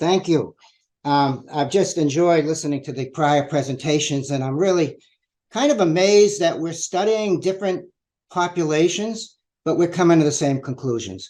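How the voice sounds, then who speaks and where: With an American accent, this man has a dark, mellow tone, a fairly high pitch, ordinary pitch variation and a moderate pace. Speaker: researcher. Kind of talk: presentation. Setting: virtual public meeting.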